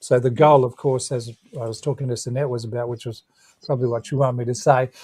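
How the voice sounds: Speaking at a fast pace, a man keeps his intonation fairly even in a dark, mellow tone. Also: medium pitch for a man.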